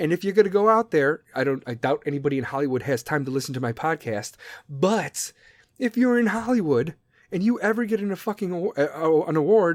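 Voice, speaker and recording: Pitched high, a man talks at a fairly quick pace in an animated tone with very wide pitch swings, the sound dry and close with no echo on a very clean recording against a silent background. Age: 30s. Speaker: podcast host. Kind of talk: casual monologue.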